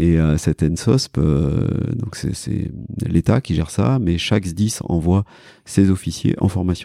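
With a very slow pace and lively intonation, a man speaks in a very deep, low pitch, his dark, mellow tone carrying vocal fry in a dry, close sound with no echo. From France, Cantal (Auvergne). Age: 40s. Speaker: emergency and sports doctor. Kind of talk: casual interview conversation. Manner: hesitant, many fillers (euh, bah).

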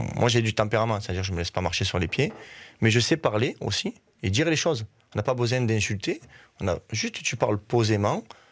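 Heard in a very clean recording with a silent background, a man with a plain, everyday voice speaks at a fairly quick pace and medium pitch with ordinary pitch variation. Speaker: football coach. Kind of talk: radio interview.

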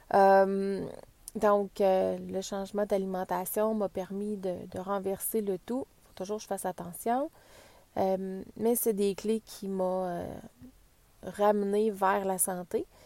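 In a Quebec accent, a woman speaks at a medium pitch with a dark, mellow tone and monotone, flat intonation. Her pace is very slow, and the recording is very clean with a silent background. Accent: Québécois French. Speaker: wellness podcaster, former medical technologist. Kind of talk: casual podcast introduction monologue. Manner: hesitant, many fillers and repetitions.

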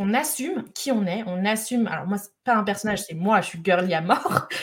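A woman speaks at a medium pitch in an animated tone with lively intonation. Her voice is somewhat breathy. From France, Lyon. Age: 30s. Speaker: entrepreneur, organisation expert. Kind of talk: casual chat; monologue.

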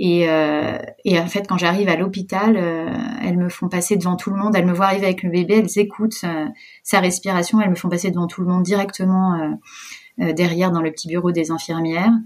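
Here is a woman with a plain, everyday voice at a medium pitch. She talks at a fairly quick pace with fairly even intonation. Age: 30s. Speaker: entrepreneur and mother. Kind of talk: personal testimony interview.

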